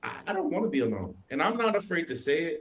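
A man speaks at a fairly quick pace with a New York accent. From Brooklyn, New York, Haitian family. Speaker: entrepreneur and father. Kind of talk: casual interview chat.

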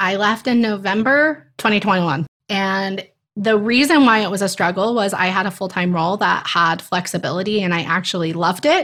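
In a very clean recording with a silent background, a woman with a plain, everyday voice speaks at medium pitch with ordinary pitch variation. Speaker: teacher career coach. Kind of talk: casual interview chat.

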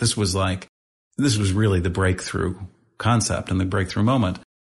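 Over a quiet background, a somewhat breathy man with an American accent speaks with fairly even intonation. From St. Louis, Missouri. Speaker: nonprofit founder and CEO. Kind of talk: interview conversation.

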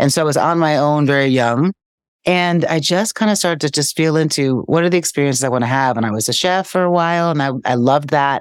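A woman talks very fast in a very deep, low voice. The recording is very clean with a silent background. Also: ordinary pitch variation, very even loudness. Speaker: author and speaker. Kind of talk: casual chat. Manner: excitable.

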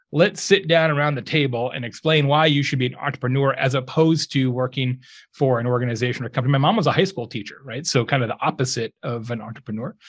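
A fairly high-pitched, somewhat breathy man with an American accent at a very fast pace, in a very clean recording with a silent background. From Arizona, US. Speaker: author and entrepreneur. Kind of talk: casual chat.

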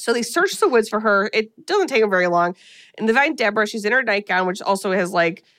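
Just plain reading aloud

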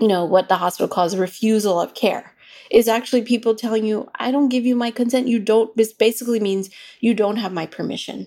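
Fairly high in pitch, a woman with an ordinary speaking voice talks at a fairly quick pace with fairly even intonation. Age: 40s. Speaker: midwife and researcher. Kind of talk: interview.

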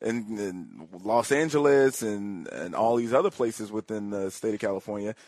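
Here is a man with a normal speaking voice at a fairly low pitch. He talks at a moderate pace with ordinary pitch variation. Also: dry, close sound with no echo. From Chicago South Side. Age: 30s. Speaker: political commentator. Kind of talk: political talk interview.

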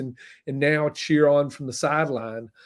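Speaking in a Southern US accent, a man with a fairly high pitch keeps a monotone, flat intonation at a moderate pace on a very clean recording with a silent background. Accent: Southern US (Georgia). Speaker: food writer and TV host. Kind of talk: interview. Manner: thoughtful, articulate.

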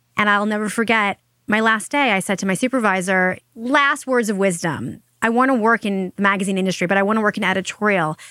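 This woman talks very fast at a medium pitch, with a bright, sharp tone and very even loudness. Her pitch varies in an ordinary way, and the recording is very clean and dry, close with no echo, over a silent background. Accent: American. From Long Island, New York. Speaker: marketing entrepreneur and author. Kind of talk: interview conversation.

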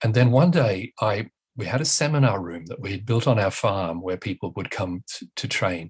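Against a quiet background, a man speaks at a moderate pace with lively intonation and a somewhat breathy voice. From northern England. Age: 60s. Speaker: author and parent educator. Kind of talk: interview. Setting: remote call from home.

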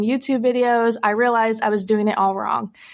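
A woman with an American accent talks with fairly even intonation on a very clean recording against a silent background. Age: 20s. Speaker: anonymous adult content creator. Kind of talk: casual interview chat.

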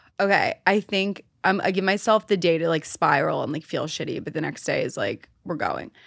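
Vocal fry in an American accent at a fairly quick pace, with ordinary pitch variation, on a very clean recording with a silent background. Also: woman, medium pitch for a woman. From New York City, Manhattan. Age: 20s. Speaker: dating content creator. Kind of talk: casual chat.

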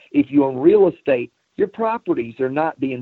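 Here is a man with a normal speaking voice. He talks at a moderate pace with lively intonation. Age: 50s. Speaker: automotive sales trainer. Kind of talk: interview.

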